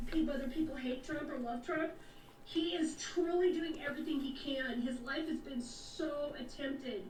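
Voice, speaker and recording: Noticeable background noise and audible room echo surround a woman speaking at a moderate pace in a high voice with fairly even intonation. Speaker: podcast guest with conspiracy views. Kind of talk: casual chat.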